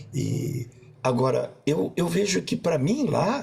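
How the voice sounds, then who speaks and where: This man speaks with vocal fry. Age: 60s. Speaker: coach and panelist. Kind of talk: panel discussion. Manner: halting, many repetitions.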